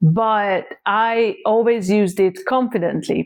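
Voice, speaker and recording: Speaking very slowly, a woman with a fairly high voice talks in a Hungarian accent. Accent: Hungarian accent, noticeable. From Hungary, small town. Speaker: content creator. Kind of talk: casual vlog talk.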